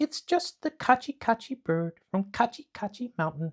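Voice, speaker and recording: A man in a put-on character voice speaks at an extremely high pitch, with very wide pitch swings. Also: moderate pace. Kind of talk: bedtime story. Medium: read story. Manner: sweet, innocent-seeming.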